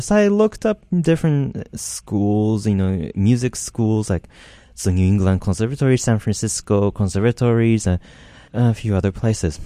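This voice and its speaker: In a Japanese accent, the speaker has a dark, mellow tone and ordinary pitch variation. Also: man. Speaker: composer. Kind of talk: interview. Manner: halting.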